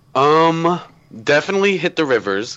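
A man with an American accent. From Florida, US (Tampa area). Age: young. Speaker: theme park vlogger. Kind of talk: casual chat. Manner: animated.

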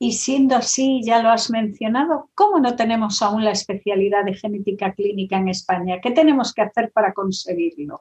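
A somewhat breathy voice at a moderate pace with hardly any pauses and ordinary pitch variation, in a dry, close recording with no echo. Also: woman, fairly high pitch for a woman. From Galicia, Spain. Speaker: interviewer. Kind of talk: interview.

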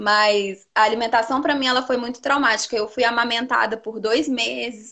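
A plain, everyday voice from a woman, fairly high-pitched, moderate in pace and fairly even in intonation. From Teófilo Otoni, northeast Minas Gerais, Brazil. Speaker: nutritionist. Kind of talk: casual interview.

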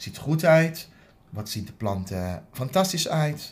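His pitch makes very wide swings. The voice belongs to a man. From Aruba. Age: 50s. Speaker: dental hygienist. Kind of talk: interview. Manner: halting.

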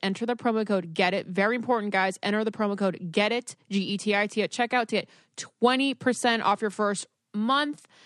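A woman at a medium pitch with a normal speaking voice and a dry, close sound with no echo. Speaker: podcast host. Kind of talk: casual chat. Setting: at home.

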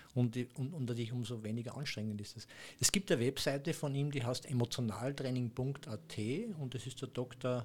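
In an Austrian accent, a man speaks at a moderate pace with a somewhat breathy, medium-pitched voice and ordinary pitch variation. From Austria, Upper Austria. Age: 60s. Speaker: acupuncture massage therapist. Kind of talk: casual interview.

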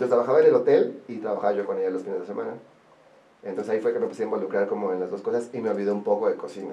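A man speaks very fast with a Mexican accent. Noticeable background noise and audible room echo fill the recording. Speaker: wedding planner. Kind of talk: casual interview chat.

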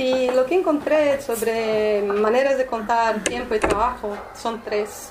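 A woman with a Portuguese accent and a fairly high pitch speaks at a very slow pace over noticeable background noise. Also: ordinary pitch variation. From Brazil, São Paulo. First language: Portuguese (speaking Spanish). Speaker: artist. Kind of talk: informal talk to a small group. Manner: hesitant, many fillers.

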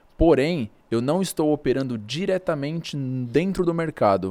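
The man's tone is dark and mellow, with lively intonation. The recording is very clean, with a silent background. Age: 20s. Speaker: day trader. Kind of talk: casual interview.

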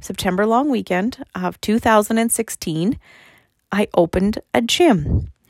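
A woman with a Canadian Prairies accent speaks at a fairly slow pace and a fairly high pitch. The sound is dry and close with no echo, on a very clean recording with a silent background. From Saskatchewan, Canada. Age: 40s. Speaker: podcast host and gym owner. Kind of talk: casual monologue.

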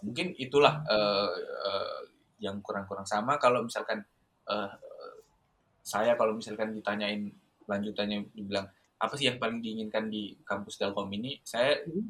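The man's pitch is medium with normal variation, and he keeps to a moderate pace. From Indonesia, Southeast Sulawesi. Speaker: university student and student organizer. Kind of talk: casual interview.

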